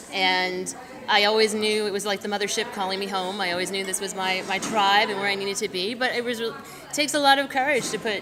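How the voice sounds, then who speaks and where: A woman of medium pitch with an American accent at a fairly quick pace, amid audible room echo and music in the background. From northern New Jersey. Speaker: romance novelist. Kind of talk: interview at a book festival. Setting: book festival event.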